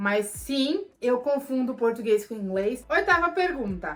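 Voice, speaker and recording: Here a woman talks in a Paulista accent. Her tone is animated. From Brazil, São Paulo. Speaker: vlogger. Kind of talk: Q&A vlog.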